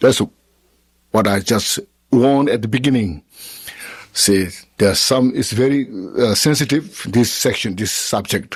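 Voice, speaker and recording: A man's medium-pitched voice with a Tibetan accent, lively intonation, a fairly slow pace and long, frequent pauses. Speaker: Buddhist teacher. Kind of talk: question and answer after a dharma teaching. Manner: halting.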